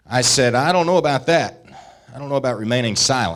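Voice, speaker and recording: A man is talking here. His accent is Southern US. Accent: Southern US (Georgia). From US South, rural northwest Georgia mountains. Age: 30s. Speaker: state senator. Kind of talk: political speech.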